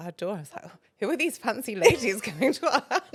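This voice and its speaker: A woman with an English accent talks at a very fast pace. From England. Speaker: feng shui consultant. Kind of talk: podcast interview.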